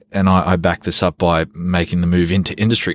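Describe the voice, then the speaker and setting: With an Australian accent, a man speaks at a very deep, low pitch. His pace is moderate. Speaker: behavioural economist and consultant. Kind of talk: interview.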